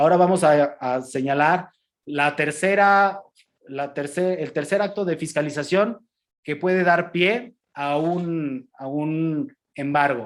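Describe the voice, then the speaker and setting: A man talks at a very slow pace. His pitch is fairly high, and the recording is very clean with a silent background. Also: ordinary pitch variation. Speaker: customs lawyer lecturer. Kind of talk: lecture. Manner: halting, many repetitions and fillers.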